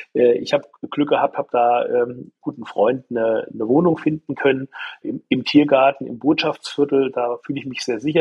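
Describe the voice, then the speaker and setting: A man's fairly high pitch with fairly even intonation at a moderate pace. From Germany, northern Hesse. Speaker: physician and member of parliament. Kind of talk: interview. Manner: halting, many repetitions and fillers.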